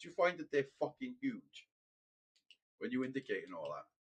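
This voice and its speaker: A man speaks very fast with a Welsh accent. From Wales. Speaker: gaming live streamer. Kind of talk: casual chat. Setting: live stream with headset. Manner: repetitive, halting.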